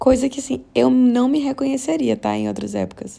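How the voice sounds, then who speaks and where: A woman is speaking. Her pace is fairly quick. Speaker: podcast host. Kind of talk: casual monologue. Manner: fast.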